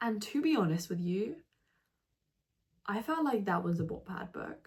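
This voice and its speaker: A somewhat breathy woman's voice at a fairly slow pace, with lively intonation. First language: not English. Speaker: book reviewer. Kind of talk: casual vlog review. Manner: animated; fillers and self-corrections.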